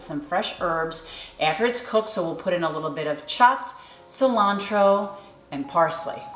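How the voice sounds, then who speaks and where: Over background music and audible room echo, a woman with a New York accent talks at a fairly slow pace. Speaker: cooking channel host. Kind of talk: tutorial. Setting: home kitchen.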